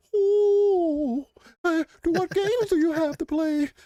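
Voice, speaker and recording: Someone puts on a character voice at an extremely high pitch and speaks at a fairly slow pace. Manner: curious, otherworldly.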